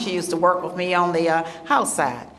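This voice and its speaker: A woman talks at a fairly quick pace and medium pitch. Her voice has audible room echo, with noticeable background noise behind it. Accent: Southern US. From US South, South Carolina. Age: 70s. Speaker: state official for seniors. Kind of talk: public speech. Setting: luncheon event with audience. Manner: animated.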